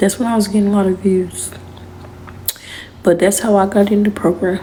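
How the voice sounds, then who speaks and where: A woman speaks at a medium pitch and a fairly quick pace, her intonation monotone and flat. Her loudness stays very even over noticeable background noise. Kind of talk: casual talk to camera.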